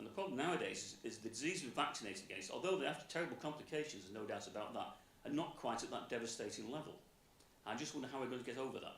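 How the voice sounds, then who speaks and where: Talking very fast with lively intonation, a man speaks at a medium pitch. Noticeable background noise and audible room echo fill the recording. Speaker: audience member asking a question. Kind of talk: audience question.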